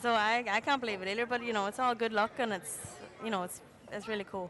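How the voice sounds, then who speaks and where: Over crowd noise in the background, a woman with an Irish accent talks very fast at a fairly high pitch. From Ireland. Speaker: jockey. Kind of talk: interview. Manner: animated.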